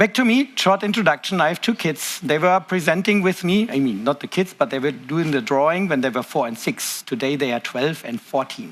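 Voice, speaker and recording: A man speaks with a German accent. His pitch swings very widely. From Germany. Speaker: tech conference presenter. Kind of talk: conference talk. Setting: stage with audience.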